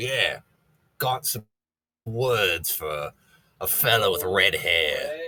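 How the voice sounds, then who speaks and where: In a raspy, put-on character voice of medium pitch, a man speaks at a very slow pace with long, frequent pauses. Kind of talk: gruff, casual.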